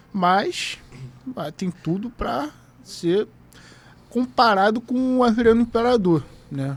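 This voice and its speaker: Speaking at a very slow pace with long, frequent pauses, a man with a high pitch uses lively intonation. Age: 20s. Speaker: football content creator. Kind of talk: casual chat.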